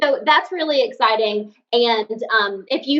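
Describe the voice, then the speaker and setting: Here a woman talks in a Southern accent at a fairly high pitch. Her intonation is lively. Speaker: podcast co-host. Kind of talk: casual chat.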